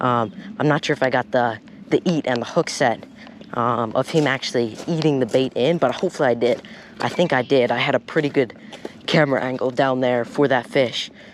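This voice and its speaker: Noticeable background noise sits behind a man talking fairly quickly at a medium pitch, with ordinary pitch variation and very even loudness. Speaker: fishing vlogger. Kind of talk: casual vlog narration. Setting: outdoors at a pond. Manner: quiet talking.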